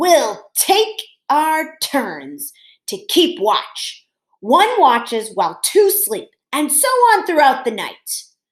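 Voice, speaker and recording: Putting on a character voice, a woman speaks in a raised, projected voice at a high pitch with very wide pitch swings and a very slow pace. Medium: read story. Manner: gruff and bossy.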